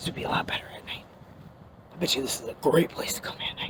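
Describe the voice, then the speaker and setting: A woman whispers at a very fast pace amid noticeable background noise. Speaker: paranormal investigator vlogger. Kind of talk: casual vlog walkthrough. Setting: outdoors. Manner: casual, chatty.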